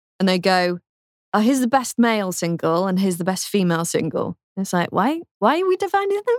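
A woman speaks with a British accent at a medium pitch. Her intonation is lively and her pace fairly quick. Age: 20s. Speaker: radio presenter. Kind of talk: interview.

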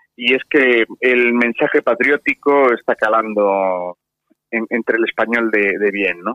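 A man is speaking. His pace is very slow. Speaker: party supporter. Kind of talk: radio interview.

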